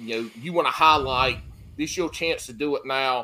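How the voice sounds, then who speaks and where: A man speaks loudly in a Southern US accent with a fairly high pitch and a bright, sharp tone. His pace is moderate and his intonation lively. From Carolinas, US South. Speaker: fishing podcast host. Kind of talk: casual chat.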